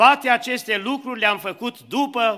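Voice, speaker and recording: A raised, projected voice with a bright, sharp tone, at a fairly slow pace against a quiet background. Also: man. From Romania, Suceava; Romania. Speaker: preacher. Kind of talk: sermon. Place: church. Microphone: podium.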